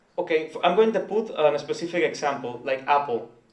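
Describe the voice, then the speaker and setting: A man is speaking. The recording carries audible room echo. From Nicaragua. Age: 20s. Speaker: entrepreneur. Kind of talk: presentation. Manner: halting.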